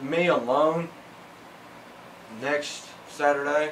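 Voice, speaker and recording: There is audible room echo around a man's voice. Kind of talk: interview. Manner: halting, many fillers.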